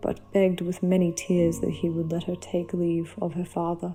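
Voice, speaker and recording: Music plays in the background as a woman talks in a calm tone. Her pitch is fairly low and her intonation monotone and flat. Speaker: storyteller. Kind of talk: sleep story. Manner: calm, soft-spoken.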